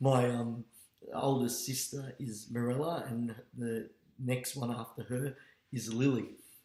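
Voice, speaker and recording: A man with an Australian accent, medium pitch, flat monotone intonation, a fairly slow pace and long, frequent pauses. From Australia, Melbourne (Fitzroy). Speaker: teacher. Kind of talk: personal monologue. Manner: halting, many fillers.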